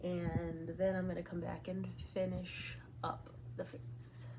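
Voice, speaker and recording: Room echo is audible as a woman speaks at a very slow pace. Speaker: beauty vlogger. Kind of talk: makeup tutorial. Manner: casual, chatty.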